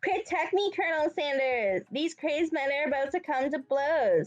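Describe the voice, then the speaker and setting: A woman's put-on character voice, high-pitched, at a moderate pace, with faint music in the background. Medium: game stream. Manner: theatrical, flirty.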